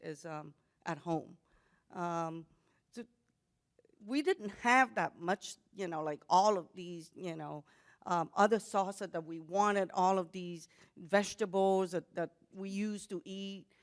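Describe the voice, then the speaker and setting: A woman speaks fairly slowly in a Vietnamese accent. Her intonation stays fairly even, but her loudness swings widely. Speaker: panelist, Vietnamese immigrant. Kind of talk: panel discussion.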